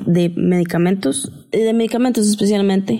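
A woman is speaking at a medium pitch. The pitch moves with ordinary variation. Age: 30s. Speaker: guest sharing mental health story. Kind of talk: personal testimony.

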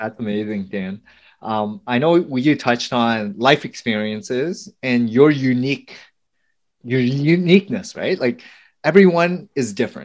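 A man talks in an ordinary speaking voice at a medium pitch and a fairly slow pace. His intonation is lively against a quiet background. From US, Vietnamese family. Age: 40s. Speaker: podcast host. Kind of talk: interview.

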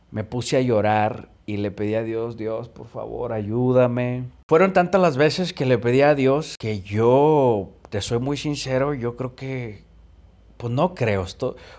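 Very slowly, a man speaks at a medium pitch. His pitch varies in an ordinary way. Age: 30s. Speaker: podcast host sharing recovery story. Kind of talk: personal testimony. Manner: casual, colloquial.

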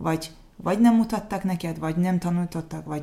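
Her tone is dark and mellow, and somewhat breathy. The woman speaks at a fairly low pitch. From Azerbaijan. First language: Azerbaijani (speaking Hungarian). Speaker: refugee. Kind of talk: interview. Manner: halting.

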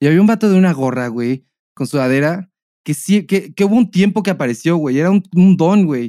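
In a Mexican accent, a man with a dark, mellow tone and a high pitch talks at a fairly quick pace, the sound dry and close with no echo. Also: lively intonation. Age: 30s. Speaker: podcast co-host. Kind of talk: casual chat.

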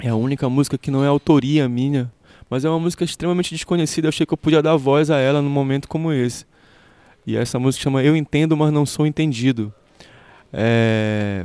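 A man's fairly high, dark, mellow voice at a fairly quick pace with ordinary pitch variation. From Pará, Brazil. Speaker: musician. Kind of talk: interview. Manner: halting.

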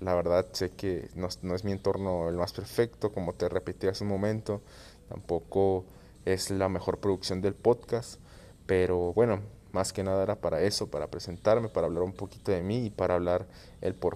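In a Jalisco accent, a man with a very deep, low pitch talks at a moderate pace in a monotone, flat intonation with a dark, mellow tone, recorded very cleanly against a silent background. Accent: Mexican Spanish (western, Jalisco). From Guadalajara, Mexico. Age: 20s. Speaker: podcast host. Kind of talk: solo monologue podcast intro. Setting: at home. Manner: halting, many repetitions and fillers.

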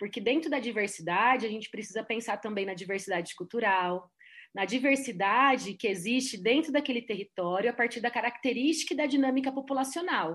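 Over a quiet background, a woman with a plain, everyday voice talks at a fairly quick pace, her fairly high pitch carrying lively intonation. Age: 40s. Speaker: tourism and environment specialist. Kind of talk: panel discussion.

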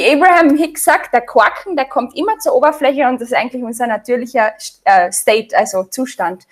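A woman with an Austrian accent, high-pitched, at a fairly quick pace with very wide pitch swings. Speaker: sprouts expert and author. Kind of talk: interview.

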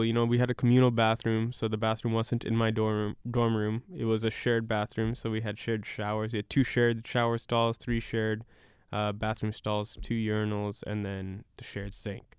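Speaking at a moderate pace and medium pitch, a man uses an ordinary speaking voice. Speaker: podcast co-host, graduating college student. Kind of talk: casual chat.

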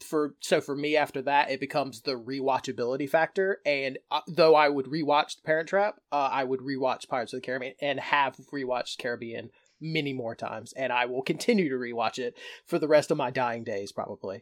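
A man's normal speaking voice with an American accent, fairly high pitch, ordinary pitch variation and a fairly quick pace with hardly any pauses, on a very clean recording with a silent background. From North Carolina. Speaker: podcast co-host. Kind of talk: casual chat.

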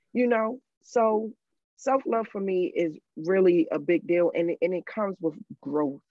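An unremarkable speaking voice with an American accent. It moves at a fairly slow pace with lively intonation. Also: woman, medium pitch for a woman. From Maryland, US. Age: 40s. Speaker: domestic abuse survivor and nonprofit founder. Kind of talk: casual interview, personal testimony.

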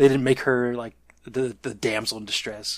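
Medium in pitch, the man's voice holds a fairly even intonation. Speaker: podcast co-host. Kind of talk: casual chat about movies and TV.

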